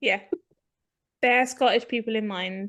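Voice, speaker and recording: The speaker has an English accent and fairly even intonation. The pace is moderate. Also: woman. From England. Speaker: podcast co-host. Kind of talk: casual chat.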